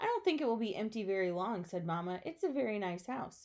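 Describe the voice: Lively intonation marks this plain reading aloud.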